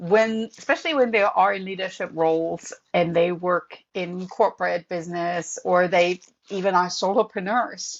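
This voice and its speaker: A woman speaks with a European accent and hardly any pauses. Her intonation stays fairly even. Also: medium pitch for a woman, moderate pace. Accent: noticeable European. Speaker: professor and author. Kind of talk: podcast interview.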